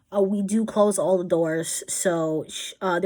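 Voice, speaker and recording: The woman here has a fairly low pitch. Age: 20s. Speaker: YouTuber. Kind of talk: casual chat. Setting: bedroom at home. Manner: fast; loud.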